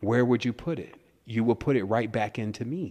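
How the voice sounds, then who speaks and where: An unremarkable speaking voice at a fairly quick pace, with ordinary pitch variation. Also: man. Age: 30s. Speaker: spiritual teacher and author. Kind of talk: interview. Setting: phone call.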